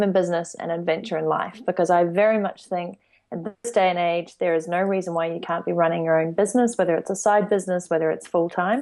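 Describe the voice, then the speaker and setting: A woman's fairly low voice with a New Zealand accent, fairly even intonation and a very fast pace, against a quiet background. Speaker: entrepreneur. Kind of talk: interview.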